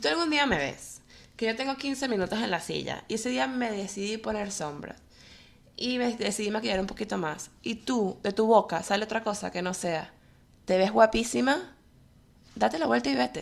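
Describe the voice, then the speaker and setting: On a very clean recording with a silent background, a woman of medium pitch speaks at a moderate pace with vocal fry and very wide pitch swings. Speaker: podcast co-host. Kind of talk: casual chat.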